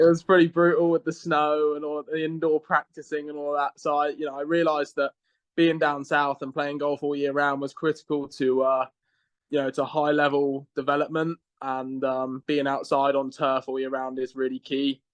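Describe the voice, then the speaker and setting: In an English accent, a man speaks at a moderate pace with a fairly high pitch and a monotone, flat intonation. The sound is dry and close with no echo, against a quiet background. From southern England, Reading. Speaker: college golfer. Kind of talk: podcast interview.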